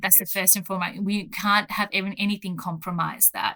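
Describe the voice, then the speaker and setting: With an Australian accent, the voice carries a bright, sharp tone. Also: woman. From Australia, rural Gippsland, Victoria. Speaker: pharmacist. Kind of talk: interview.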